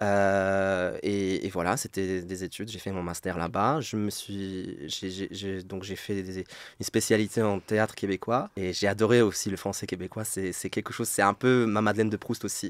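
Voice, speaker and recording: Fairly low male pitch, fairly even intonation and hardly any pauses from a man in a very clean recording with a silent background. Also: moderate pace. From Poland. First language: Polish (speaking French). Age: 30s. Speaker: French teacher. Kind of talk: interview. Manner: hesitant, many repetitions.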